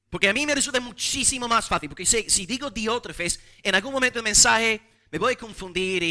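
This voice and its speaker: In an English accent, a man with a high pitch projects a raised voice at a fairly quick pace, his intonation lively and his tone bright and sharp, in a very clean, dry, close recording with no echo and a silent background. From English-speaking foreign country. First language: English (speaking Spanish). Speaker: pastor. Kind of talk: sermon.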